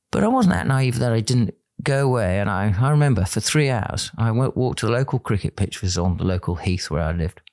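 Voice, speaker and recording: At a very fast pace with hardly any pauses, a man at a medium pitch uses lively intonation, and the sound is dry and close with no echo. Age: 60s. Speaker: former fighter pilot. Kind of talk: interview.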